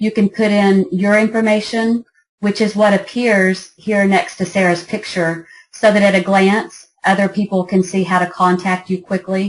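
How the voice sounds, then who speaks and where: A woman's somewhat breathy voice at a moderate pace, with monotone, flat intonation. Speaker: app founder giving a product demo. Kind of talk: product demo presentation.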